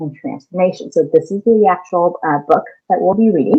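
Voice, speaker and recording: In an American accent, the words come at a moderate speed. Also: woman. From California. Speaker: elementary school teacher. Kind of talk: lesson for children.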